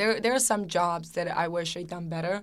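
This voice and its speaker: In a Serbian accent, a woman speaks with fairly even intonation and a bright, sharp tone on a very clean recording with a silent background. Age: 20s. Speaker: fashion model. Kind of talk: interview.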